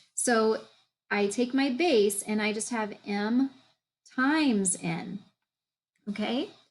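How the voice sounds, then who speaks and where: A woman speaks with a fairly high pitch and ordinary pitch variation on a very clean recording with a silent background. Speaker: math teacher. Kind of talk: recorded lesson video. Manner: halting.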